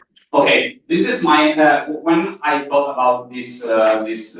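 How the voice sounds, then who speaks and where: There is audible room echo around the voice. A man speaks at a very slow pace. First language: Italian. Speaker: journalist. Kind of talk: seminar talk. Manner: halting, with many fillers.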